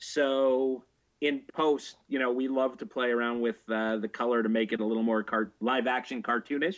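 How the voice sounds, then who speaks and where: A man talks in an ordinary speaking voice with a Canadian accent and a medium pitch. His pace is moderate, with very even loudness and fairly even intonation. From Canada. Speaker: adult film writer and director. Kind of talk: interview. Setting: video call.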